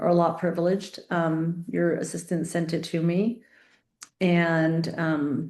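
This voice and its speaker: A woman with a normal speaking voice talks at a fairly slow pace, her pitch fairly low, her intonation fairly even and her loudness very even. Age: 50s. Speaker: nurse and interviewer. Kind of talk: interview chat.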